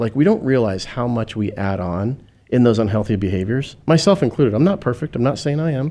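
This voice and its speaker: The speaker talks at a fairly quick pace over a quiet background. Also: man. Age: 50s. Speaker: podcast co-host. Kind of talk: casual chat. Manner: animated.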